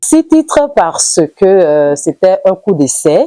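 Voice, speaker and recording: A woman's dark, mellow tone at a very slow pace, dry and close with no echo. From Benin, Idaasha-speaking area. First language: Idaasha (Yoruba variety) (speaking French). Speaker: singer. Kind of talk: interview.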